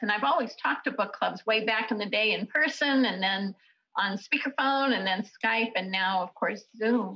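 The pace is moderate and the pitch varies in an ordinary way. The background is quiet. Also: woman. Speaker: guest. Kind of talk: interview answer. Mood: warm, upbeat. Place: home room. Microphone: video call.

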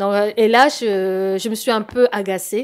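A woman at medium pitch speaks with fairly even intonation against a quiet background. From Congo. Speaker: scam victim; interview guest. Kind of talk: testimony. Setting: studio. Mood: earnest, recounting a scam. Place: studio. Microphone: handheld.

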